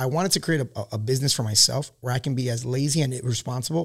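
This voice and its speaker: This man has a medium pitch and an American accent, and he sounds somewhat breathy. He talks at a very fast pace with ordinary pitch variation. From Queens, New York. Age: 30s. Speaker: Marine veteran and small business owner. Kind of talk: casual chat.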